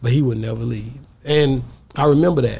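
With a Southern US accent, a man speaks in a somewhat breathy voice over light background noise. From Texas. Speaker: podcast host. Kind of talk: casual interview. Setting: studio. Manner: animated. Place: studio. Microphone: studio mic.

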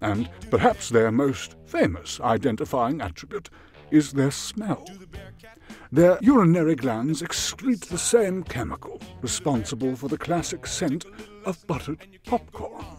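Music plays behind a man talking at a fairly slow pace, his fairly high pitch swinging very widely. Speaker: voice-over artist. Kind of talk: documentary-style animal fact narration.

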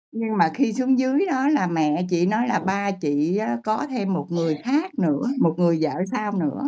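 A woman's dark, mellow voice at a very slow pace, with very wide pitch swings against a quiet background. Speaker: guest searching for her father. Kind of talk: casual storytelling. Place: home room. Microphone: video call.

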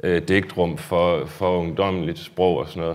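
A man's very deep, low voice against a quiet background. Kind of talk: lecture. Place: hall. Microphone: lapel.

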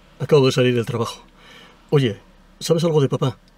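With a dark, mellow tone and a somewhat breathy quality, a man speaks at a moderate pace and ordinary pitch variation in a dry sound with no echo. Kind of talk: acted phone call. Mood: worried but calming. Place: car. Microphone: camera far.

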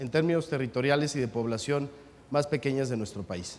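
A man speaks with a Mexican accent and ordinary pitch variation. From Mexico. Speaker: mayor. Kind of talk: panel discussion. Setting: stage with audience. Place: hall.

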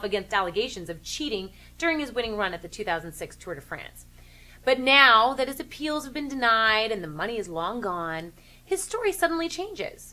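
Moving at a fairly quick pace, a woman speaks in a bright, sharp tone with very wide pitch swings. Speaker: sports commentary show host. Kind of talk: commentary. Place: home room.

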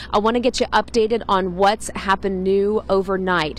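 A woman talks with monotone, flat intonation. Light background noise sits under a dry sound with no echo. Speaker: TV field reporter. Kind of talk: live news report. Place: street. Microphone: handheld.

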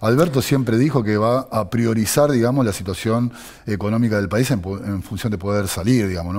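A man with a Rioplatense accent and a fairly low pitch talks at a fairly quick pace against a quiet background. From Argentina, Buenos Aires. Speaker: city legislator; interview guest. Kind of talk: political interview. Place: studio. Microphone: headset.

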